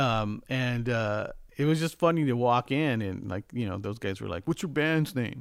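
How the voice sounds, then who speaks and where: A man with a Californian accent, on a very clean recording with a silent background. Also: medium pitch for a man, lively intonation, moderate pace. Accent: Californian American. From Los Angeles, California. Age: 50s. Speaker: music producer and mixing engineer. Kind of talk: casual interview.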